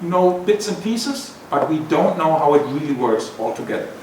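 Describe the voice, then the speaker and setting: A man with a German accent and a high pitch speaks at a fairly slow pace, swinging very widely in pitch, with audible room echo and noticeable background noise. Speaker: professor. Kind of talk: lecture. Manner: conversational, with hesitations.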